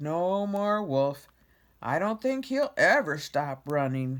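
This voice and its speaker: A man uses a put-on character voice, pitched high for a man. He speaks at a fairly slow pace with very wide pitch swings. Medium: read story.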